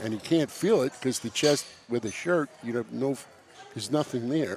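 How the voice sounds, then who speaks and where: Music plays behind a man with a medium-pitched voice and a New York accent. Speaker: powerlifting meet commentator. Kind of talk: live sports commentary.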